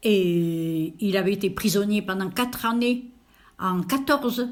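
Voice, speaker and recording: A woman speaks in a medium-pitched, somewhat breathy voice with ordinary pitch variation. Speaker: elderly interviewee. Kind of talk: interview. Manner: hesitant, many fillers.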